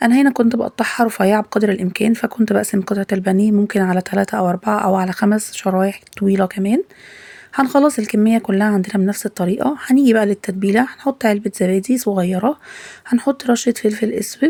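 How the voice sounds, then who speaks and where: Medium in pitch, a woman talks in a dark, mellow tone at a fairly quick pace with ordinary pitch variation, in a dry, close sound with no echo. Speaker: cooking channel host. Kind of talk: cooking tutorial.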